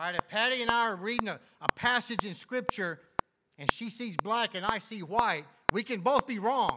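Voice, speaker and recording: A man with a high pitch speaks in a raised, projected voice at a moderate pace with ordinary pitch variation. The sound is dry and close, with no echo. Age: 60s. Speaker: pastor. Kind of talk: sermon.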